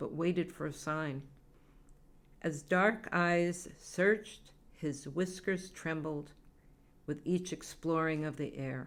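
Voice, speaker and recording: A plain, everyday voice from a woman with an American accent, fairly even intonation and a fairly slow pace. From Massachusetts. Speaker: poet. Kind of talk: poetry reading.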